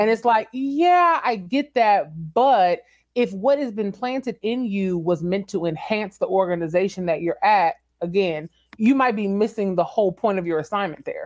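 A woman speaks in a plain, everyday voice at a medium pitch, with an American accent, lively intonation and a moderate pace, on a very clean recording with a silent background. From Texas. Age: 30s. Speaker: entrepreneur and business consultant. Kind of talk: interview.

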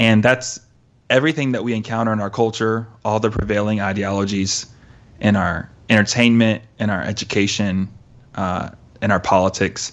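Using a normal speaking voice, a man with a fairly low pitch keeps a moderate pace and fairly even intonation. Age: 30s. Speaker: youth pastor and podcast host. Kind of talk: casual chat.

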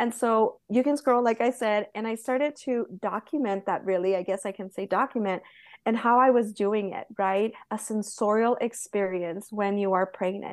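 A woman's fairly high-pitched, plain, everyday voice at a moderate pace, with fairly even intonation and a quiet background. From Southern California. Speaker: Montessori guide. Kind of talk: interview.

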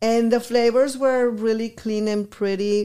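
A woman with a Spanish accent, fairly slow in pace, her intonation fairly even. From Guadalajara, Mexico; teen years in Texas border town. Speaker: restaurant owner. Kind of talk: interview.

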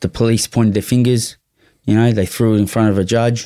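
A man's dark, mellow voice at medium pitch, with a strong Australian accent, fairly quick pace and fairly even intonation, on a very clean recording with a silent background. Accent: broad Australian. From Australia, western suburbs of Melbourne. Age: 40s. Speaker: former prisoner and drug dealer. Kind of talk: casual interview, life story. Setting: studio.

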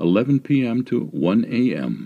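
A man speaks with a dark, mellow tone and vocal fry. His pitch swings very widely. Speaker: voice-over narrator. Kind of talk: reading aloud.

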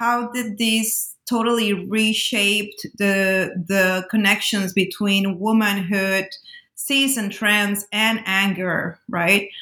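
A woman with a bright, sharp tone talks at a medium pitch and a very slow pace, her intonation fairly even. The recording is very clean, with a silent background. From Peru, Lima. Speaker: academic editor of a punk studies volume. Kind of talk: casual interview. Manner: halting, many fillers.

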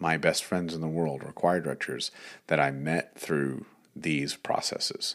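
Very deep and low with vocal fry, a man's voice moves at a fairly slow pace with fairly even intonation in an American accent. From Texas, Dallas-Fort Worth area. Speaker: high school choir director and podcast host. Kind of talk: solo podcast monologue. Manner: hesitant with frequent fillers.

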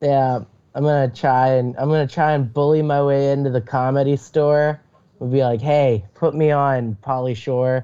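A man speaks with a dark, mellow tone at a fairly high pitch. His intonation stays fairly even and his loudness very even. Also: moderate pace. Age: 20s. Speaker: aspiring comedian. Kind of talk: casual chat.

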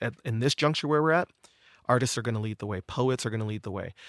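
Recorded very cleanly with a silent background and a dry, close sound with no echo, a man with an American accent speaks at a very fast pace. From Detroit, Michigan, then North Carolina from age twelve. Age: 30s. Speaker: singer-songwriter and speaker on racism. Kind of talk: interview conversation.

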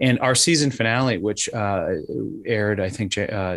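A man with an American accent has an ordinary speaking voice at a fairly low pitch. His pace is moderate and his pitch variation is ordinary. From Wisconsin. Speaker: nonprofit director and podcast host. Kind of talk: radio interview.

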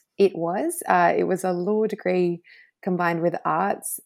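A woman with an Australian accent, fairly low in pitch and fairly slow, on a very clean recording with a silent background. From Australia, Snowy Mountains NSW. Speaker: international lawyer. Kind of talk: interview.

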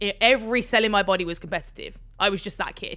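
A woman with a medium pitch talks at a fairly quick pace. Her tone is bright and sharp. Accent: Birmingham. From England, Birmingham. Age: 20s. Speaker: Paralympic rower. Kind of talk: interview. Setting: remote call.

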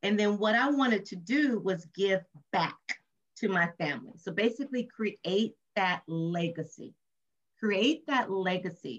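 Speaking with an American accent, a woman uses medium pitch and lively intonation at a fairly slow pace. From Compton, California. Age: 50s. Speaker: nonprofit founder and author. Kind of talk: interview. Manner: talkative.

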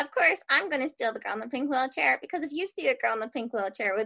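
A woman's high, raised, projected voice in a Philadelphia accent, at a very fast pace with very wide pitch swings. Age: young. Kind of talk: casual interview.

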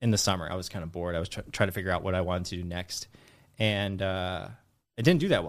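A man speaks with an American accent at a fairly low pitch. The recording is very clean, with a silent background. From US, San Francisco Bay Area. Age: 30s. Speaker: finance content creator, former financial advisor. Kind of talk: casual interview chat.

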